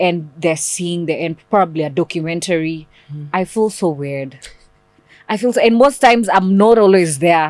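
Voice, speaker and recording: A plain, everyday voice from a woman, fairly low-pitched, at a moderate pace with lively intonation. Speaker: voiceover artist. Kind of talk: interview answer.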